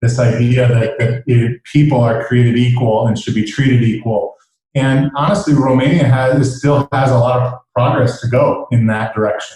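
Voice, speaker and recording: With an American accent, a man speaks in a dark, mellow, somewhat breathy tone at medium pitch, using fairly even intonation, very even loudness, a moderate pace and hardly any pauses. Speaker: entrepreneur. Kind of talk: podcast interview.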